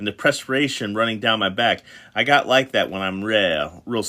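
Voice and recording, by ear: Someone reads aloud in a natural voice whose pitch varies in an ordinary way.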